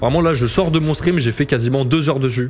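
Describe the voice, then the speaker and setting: A man talks fairly quickly while music plays behind him. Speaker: casino streamer. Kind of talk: live slot commentary. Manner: fast; animated.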